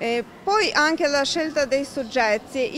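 Light background noise sits behind a woman with a high voice. She speaks at a very slow pace with ordinary pitch variation. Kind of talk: interview answer. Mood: calm, reflective. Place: hall. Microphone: handheld.

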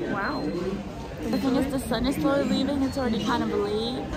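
With crowd noise in the background, a woman talks fairly quickly with ordinary pitch variation. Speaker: vlogger. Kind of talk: casual vlog chat. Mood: amused, mildly stressed. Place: station. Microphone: phone near.

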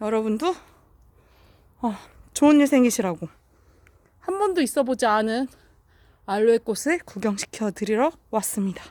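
Taking long, frequent pauses, a woman speaks at a moderate pace and fairly high pitch with lively intonation, in a dry, close sound with no echo. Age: 40s. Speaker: vlogger. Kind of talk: casual vlog narration. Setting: visiting mother's home, filming flowers.

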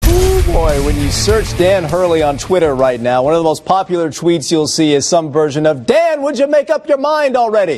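Faint music sits behind a man who speaks at a moderate pace. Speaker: sports anchor and reporter. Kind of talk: TV sports news anchor reel. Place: studio.

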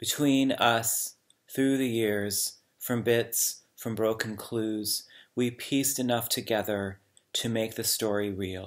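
A man speaks at a very slow pace with fairly even intonation. The background is quiet. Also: medium pitch for a man. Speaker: poet reading aloud. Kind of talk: poetry reading. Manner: slow, measured, hushed; contemplative, lyrical. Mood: calm, reflective. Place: home room. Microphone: webcam.

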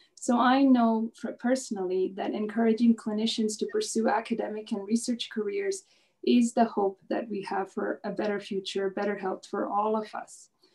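Somewhat breathy speech moves at a moderate pace over a quiet background. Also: woman, ordinary pitch variation. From India. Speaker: pediatric physician and research professor. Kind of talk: webinar panel presentation. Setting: video call. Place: home room. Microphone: video call.

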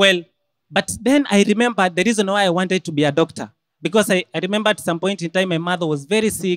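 Speaking at a very fast pace in an animated tone, a man with a Kenyan accent has a high pitch and ordinary pitch variation against a quiet background. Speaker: medical student; storyteller at live event. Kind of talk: storytelling. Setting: stage with audience. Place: hall. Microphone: handheld.

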